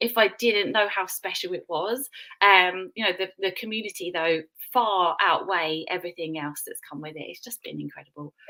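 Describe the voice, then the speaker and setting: With a British accent, a woman speaks at medium pitch with ordinary pitch variation. Her tone is bright and sharp, and her loudness swings a lot. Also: moderate pace. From UK. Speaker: business guest, mum. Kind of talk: casual live stream chat, testimony. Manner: animated.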